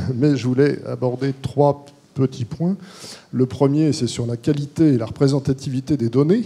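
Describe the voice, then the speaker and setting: This man has a plain, everyday voice at a medium pitch. He speaks fairly slowly with fairly even intonation. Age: 60s. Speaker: court-appointed expert, audience member. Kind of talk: audience question at panel. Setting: conference hall with audience.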